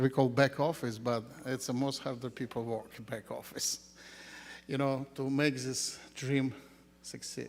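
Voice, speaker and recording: In a non-native accent, a man of medium pitch speaks at a fairly slow pace with monotone, flat intonation. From Ukraine. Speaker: school founder. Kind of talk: ceremony speech. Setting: graduation ceremony with audience.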